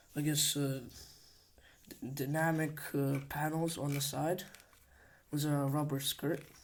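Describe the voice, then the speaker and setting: In a non-native accent, the speaker talks fairly slowly with long, frequent pauses. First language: not English. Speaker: hobbyist video creator. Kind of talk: casual show-and-tell tutorial. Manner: halting, many fillers.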